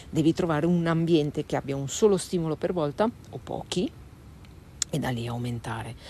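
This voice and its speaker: A woman with a very deep, low voice speaks fairly quickly with lively intonation and long, frequent pauses, in a dry sound with no echo over light background noise. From northern Italy, Varese (Lombardy). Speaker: dog trainer. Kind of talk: live stream Q&A. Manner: casual, hesitant with fillers. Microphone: phone near.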